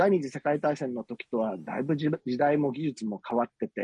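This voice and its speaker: A somewhat breathy man's voice with a fairly high pitch. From Osaka. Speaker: politician. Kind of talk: interview. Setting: remote call.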